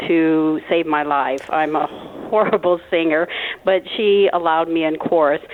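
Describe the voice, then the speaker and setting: Against noticeable background noise, a woman with a fairly low pitch talks with fairly even intonation. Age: 60s. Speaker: caller. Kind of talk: phone-in storytelling. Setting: phone call.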